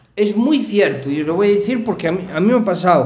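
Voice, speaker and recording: Audible room echo surrounds a man talking at a moderate pace over a quiet background. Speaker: streamer reacting to a video. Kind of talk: casual reaction commentary. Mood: personal, confiding story.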